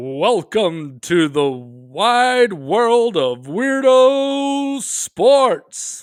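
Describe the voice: A man puts on a character voice with a high pitch, talking at a very slow pace with hardly any pauses. The recording is very clean, with a silent background.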